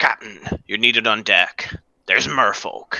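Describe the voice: Putting on a character voice, a man speaks at medium pitch in a raspy, gruff, growling manner. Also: moderate pace.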